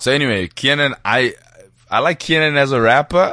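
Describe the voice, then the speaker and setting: Fairly high in pitch, a man's voice has a bright, sharp tone and ordinary pitch variation. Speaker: stand-up comedian. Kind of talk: casual chat. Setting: studio.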